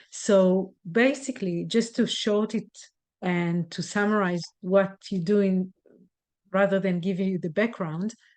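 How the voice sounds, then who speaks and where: Against a quiet background, a woman with a non-native accent speaks at a medium pitch, at a fairly slow pace and with fairly even intonation. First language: not English. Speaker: hypnotherapist. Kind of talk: podcast conversation.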